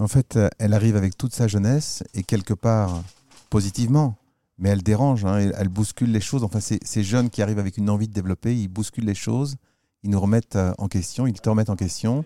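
A man talks at a very fast pace in a dark, mellow tone with fairly even intonation. The recording is very clean with a silent background and a dry, close sound with no echo. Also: fairly low pitch for a man. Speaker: podcast host. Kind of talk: interview. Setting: chocolate shop.

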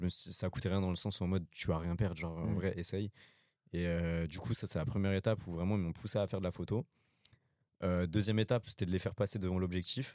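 Very deep, low male pitch with a dark, mellow tone, fairly even intonation and a very fast pace. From France, Paris suburbs (Val-d'Oise). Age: 20s. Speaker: photographer. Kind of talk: interview.

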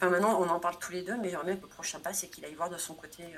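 A woman speaks with a fairly low pitch. Noticeable background noise can be heard. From France, Corrèze. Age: 30s. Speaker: travel blogger. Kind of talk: interview conversation.

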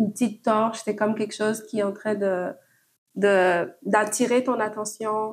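A woman's very slow, fairly high-pitched speech with fairly even intonation. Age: 20s. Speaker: podcast guest. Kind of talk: casual chat. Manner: halting.

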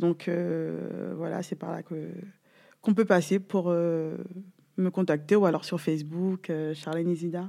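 The voice has a dark, mellow tone and moves at a fairly slow pace with monotone, flat intonation. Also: woman, fairly low pitch for a woman. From Guadeloupe. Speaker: gwoka dancer and trainee coach. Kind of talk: interview. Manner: talkative.

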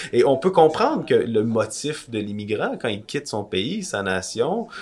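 Using very wide pitch swings around a medium pitch, a man speaks at a fairly slow pace. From Quebec. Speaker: podcast co-host. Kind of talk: casual discussion.

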